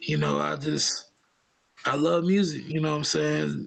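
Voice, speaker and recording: The speaker is a man with an American accent. He talks at a very slow pace. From upstate New York. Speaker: hip hop artist. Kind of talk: interview. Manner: halting, many fillers.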